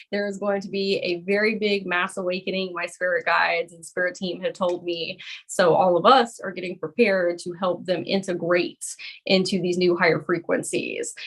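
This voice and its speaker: Speaking in a Southern US accent, a woman keeps a flat, monotone intonation at medium pitch and a moderate pace while her loudness swings widely. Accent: Southern US (Georgia). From US South, Georgia. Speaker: spiritual coach and energy healer. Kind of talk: live-streamed group coaching. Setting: video call live stream.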